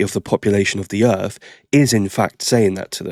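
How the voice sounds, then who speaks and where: This man talks at a fairly quick pace with a fairly low pitch and an English accent. The recording is very clean, with a silent background. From England. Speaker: reaction video host. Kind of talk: reaction commentary.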